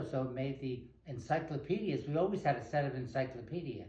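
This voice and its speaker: This man's voice is somewhat breathy with a dark, mellow tone. He talks at a fairly quick pace with ordinary pitch variation. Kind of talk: interview answer.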